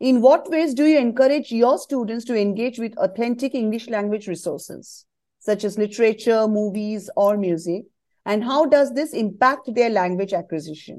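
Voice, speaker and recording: Against a quiet background, a woman with an ordinary speaking voice talks at a moderate pace, her fairly high pitch carrying lively intonation. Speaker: podcast host. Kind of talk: scripted intro then interview questions.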